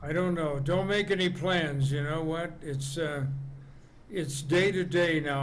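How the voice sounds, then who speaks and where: A man with an American accent talks fairly slowly at a fairly high pitch, with ordinary pitch variation. Room echo is audible. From Las Vegas, Nevada, US. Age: 80s+. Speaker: comedian. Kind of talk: interview.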